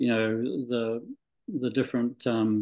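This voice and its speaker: A man's medium-pitched voice with a Scottish accent. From Scotland. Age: 60s. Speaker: medical doctor. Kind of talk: interview. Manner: halting, many fillers and restarts.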